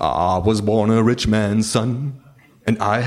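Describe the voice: The delivery is plain reading aloud. Its intonation remains fairly even.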